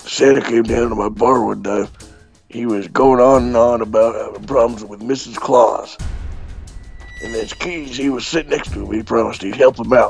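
A man does a put-on character voice at medium pitch and a moderate pace. Faint music plays in the background. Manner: gruff, rude, streetwise.

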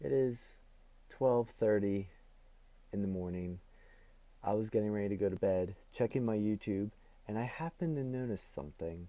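Dark, mellow tone in a dry, echo-free sound, with ordinary pitch variation and long, frequent pauses. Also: man, fairly low pitch for a man, moderate pace. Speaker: vlogger. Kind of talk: casual vlog talk to camera. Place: home room. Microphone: earbuds.

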